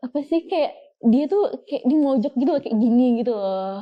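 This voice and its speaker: A woman talks with lively intonation. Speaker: guest sharing ghost experiences. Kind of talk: casual storytelling chat. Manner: halting with many fillers.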